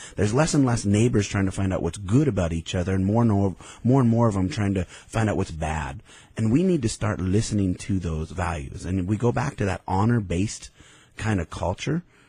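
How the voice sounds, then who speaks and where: A man with an American accent speaks at a fairly quick pace, his dark, mellow voice somewhat breathy and fairly low in pitch. His intonation is lively, and the background is quiet. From Idaho. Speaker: businessman. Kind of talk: radio interview. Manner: animated.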